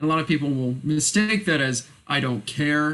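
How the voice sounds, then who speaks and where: Intonation stays fairly even as the words come at a moderate pace. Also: man. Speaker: college music student. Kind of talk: interview. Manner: soft-spoken.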